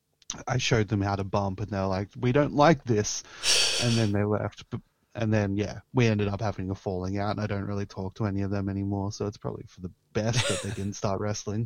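With a fairly low pitch, a man talks at a fairly quick pace. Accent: Australian. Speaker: pro wrestler. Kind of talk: casual chat.

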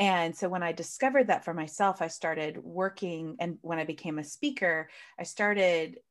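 Against a quiet background, a woman with a normal speaking voice talks fairly slowly at a fairly low pitch. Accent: American. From United States. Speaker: coach and speaker. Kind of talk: interview, conversational.

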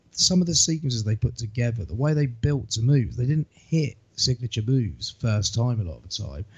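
A man's voice, medium in pitch, comes out somewhat breathy. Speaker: wrestling podcast host. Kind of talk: casual chat.

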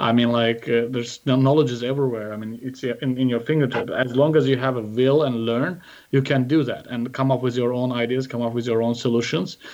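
Talking at a fairly quick pace, a man with an Azerbaijani accent speaks at a medium pitch. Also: fairly even intonation, hardly any pauses. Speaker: startup investor and founder. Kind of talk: interview. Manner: halting.

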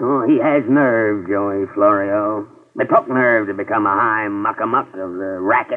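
A man puts on a whiny character voice, pitched fairly low. He keeps a moderate pace. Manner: gloomy, whining, melodramatic.

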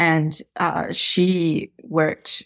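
A woman talks with an Australian accent in a very deep, low, monotone voice with flat intonation. The recording is very clean with a silent background. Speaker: novelist. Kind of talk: casual interview chat.

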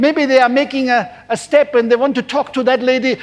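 This man has a warm, animated tone and an extremely high pitch. He speaks at a fairly quick pace. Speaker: preacher. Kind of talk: sermon. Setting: church service broadcast on television. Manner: warm, animated pulpit delivery with call-and-response, pausing for amens.

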